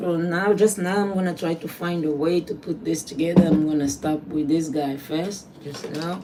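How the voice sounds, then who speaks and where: Against noticeable background noise, a woman with a fairly low voice speaks at a moderate pace with hardly any pauses. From Angola. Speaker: trash artist. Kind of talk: casual livestream tutorial. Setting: small home workspace. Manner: halting.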